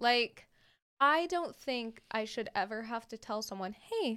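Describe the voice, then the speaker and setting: A woman speaks in an ordinary speaking voice at a fairly high pitch with lively intonation, on a very clean recording with a silent background. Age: 20s. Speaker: college radio station manager and DJ. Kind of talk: casual chat.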